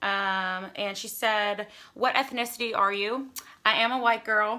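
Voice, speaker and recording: Her voice a fairly high pitch with a bright, sharp tone, a woman speaks. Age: 20s. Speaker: beauty YouTuber. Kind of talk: casual Q&A vlog. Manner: chatty, filler-heavy with um.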